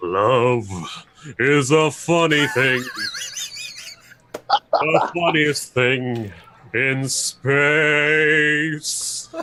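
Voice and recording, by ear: Using a put-on character voice, a man speaks at a very slow pace and a fairly high pitch, leaving long, frequent pauses.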